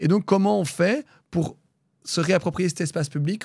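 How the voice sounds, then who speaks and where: Pitch varies in an ordinary way, and the pace is moderate. A silent background makes for a very clean recording. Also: man. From Brussels, Belgium. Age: 30s. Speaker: regional politician. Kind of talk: interview. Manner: halting, many fillers.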